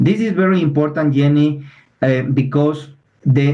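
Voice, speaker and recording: In a room with audible echo, a man with a non-native accent speaks at a fairly high pitch. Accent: non-native English, clear. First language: Spanish. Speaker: environmental lawyer. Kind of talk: webinar presentation. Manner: halting, many fillers and restarts.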